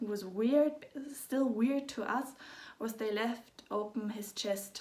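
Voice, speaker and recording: In a German accent, a woman speaks very slowly at a fairly high pitch, her intonation fairly even. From Germany. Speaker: parent of a sick child. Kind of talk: personal story vlog. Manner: halting.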